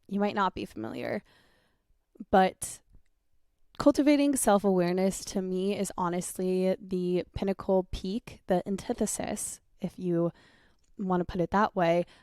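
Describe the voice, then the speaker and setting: This woman's voice sits at a medium pitch and has a dark, mellow tone. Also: ordinary pitch variation. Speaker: podcast host. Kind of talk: solo podcast talk. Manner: casual, filler-heavy.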